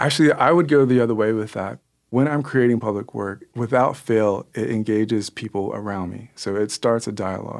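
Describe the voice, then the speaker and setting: A man uses a plain, everyday voice at a medium pitch with ordinary pitch variation, a fairly quick pace and hardly any pauses, on a very clean recording with a silent background. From US, born Kansas City, raised in US Southeast. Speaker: muralist and painter. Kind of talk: interview conversation.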